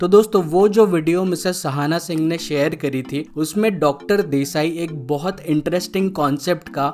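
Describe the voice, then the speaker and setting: Fairly high-pitched speech from a man with a Bengali accent, showing ordinary pitch variation, over noticeable background noise. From India, Maharashtra. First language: Bengali (speaking Hindi). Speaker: YouTube explainer host. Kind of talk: educational explainer narration.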